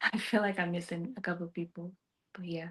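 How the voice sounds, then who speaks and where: Her pitch is fairly low and her intonation monotone and flat. The woman speaks at a moderate pace. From Jamaica. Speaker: singer-songwriter. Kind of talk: casual interview chat. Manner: halting, many fillers and repeats.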